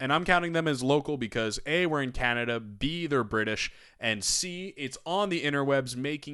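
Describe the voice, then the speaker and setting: A fairly high-pitched man with a slight American accent, a bright, sharp tone, an animated delivery and lively intonation, at a fairly quick pace against a quiet background. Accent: slight American twang. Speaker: wrestling podcast host. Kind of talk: podcast intro monologue.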